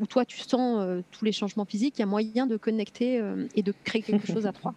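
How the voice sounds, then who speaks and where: A woman has a plain, everyday voice at a fairly high pitch, with fairly even intonation. She talks at a moderate pace, and the sound is dry and close with no echo. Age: 40s. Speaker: mother sharing birth story, entrepreneur. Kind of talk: testimony.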